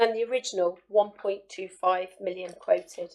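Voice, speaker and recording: Speaking at a moderate pace, a woman has a dark, mellow tone. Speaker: councillor. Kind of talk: council meeting speech. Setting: council chamber. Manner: formal.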